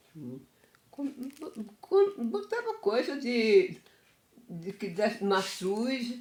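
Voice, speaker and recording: Swinging very widely in pitch, the woman speaks from a fairly high register. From Afogados da Ingazeira, Pernambuco, Brazil. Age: 80s+. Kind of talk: interview answer.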